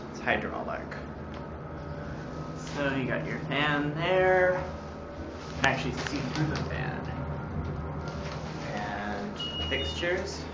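Over music in the background, a man speaks at a very slow pace with long, frequent pauses. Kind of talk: casual commentary. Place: station. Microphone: phone near.

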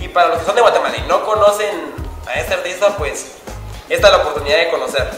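Faint music and audible room echo accompany very fast speech. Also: man. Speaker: vlogger interviewer. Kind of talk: casual talk to camera. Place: studio.

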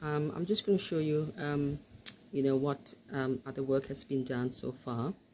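The voice has a dark, mellow tone and moves at a moderate pace over light background noise. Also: woman. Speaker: home builder vlogger. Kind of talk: casual vlog chat. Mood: pleased, relaxed. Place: home room. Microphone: phone near.

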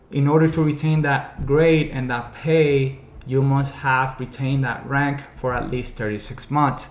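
A man at a fairly slow pace amid audible room echo. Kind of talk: informational vlog talk. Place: studio.

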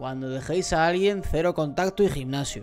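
Ordinary pitch variation and a moderate pace from a man, quiet background behind. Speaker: streamer. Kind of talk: reaction stream commentary. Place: home room. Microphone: studio mic.

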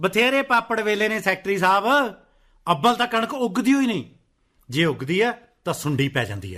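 A man's put-on character voice, high in pitch with big pitch swings and a bright, sharp tone, at a moderate pace on a very clean recording with a silent background

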